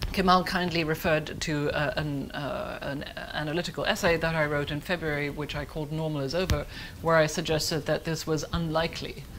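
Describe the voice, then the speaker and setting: Fairly quick, flat, monotone delivery with a German accent, audible room echo and noticeable background noise. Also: woman, very deep, low pitch for a woman. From Germany. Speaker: foreign policy analyst. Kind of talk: conference panel talk. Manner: fast.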